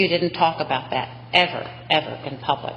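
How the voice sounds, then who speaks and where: With an American accent, a woman talks in a fairly low pitch over noticeable background noise. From US South. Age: 60s. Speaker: state senate president. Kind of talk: legislative floor speech. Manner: formal.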